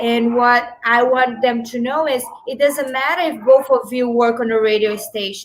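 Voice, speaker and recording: A woman with a high-pitched voice speaks at a moderate pace, her intonation fairly even. Her loudness swings widely, and noticeable background noise can be heard. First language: not English; Spanish is her third. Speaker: small business owner and networking group founder. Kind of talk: interview on a talk show.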